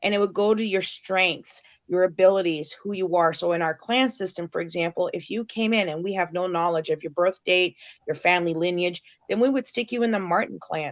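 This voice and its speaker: A woman talks in a normal speaking voice at a medium pitch. Her pace is fairly quick, and her pitch varies in an ordinary way. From Canada. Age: 40s. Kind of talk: casual interview chat.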